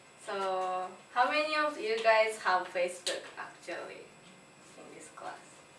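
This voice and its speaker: With audible room echo, a woman speaks at a fairly high pitch in a bright, sharp tone, her loudness swinging widely. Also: fairly slow pace. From Japan. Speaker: English language student. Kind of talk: class presentation. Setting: classroom. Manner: halting.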